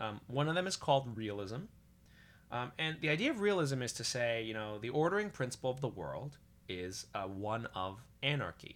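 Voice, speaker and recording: A man at medium pitch speaks at a moderate pace, his pitch swinging very widely. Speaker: podcast host. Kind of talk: casual podcast discussion.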